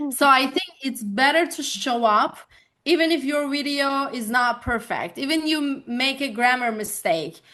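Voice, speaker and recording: A woman with a high pitch and ordinary pitch variation uses a raised, projected voice with a bright, sharp tone. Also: moderate pace. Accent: Turkish. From Turkey, Bursa. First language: Turkish. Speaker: life coach. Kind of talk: interview conversation.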